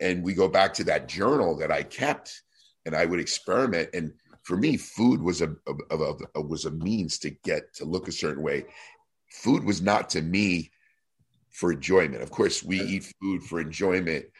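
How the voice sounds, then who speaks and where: This man has a very deep, low pitch and an American accent. His pitch variation is ordinary. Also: moderate pace. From New Jersey. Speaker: retired pro bodybuilder. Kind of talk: casual interview.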